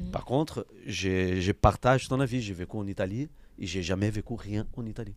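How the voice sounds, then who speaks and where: Fairly low-pitched male speech at a moderate pace. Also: ordinary pitch variation. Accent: Brazilian. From Brazil. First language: Portuguese (speaking French). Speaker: podcast host, amateur footballer. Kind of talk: casual interview chat.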